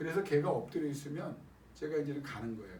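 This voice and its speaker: A man's fairly high voice at a fairly quick pace, with audible room echo. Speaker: pastor. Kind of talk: sermon. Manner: animated.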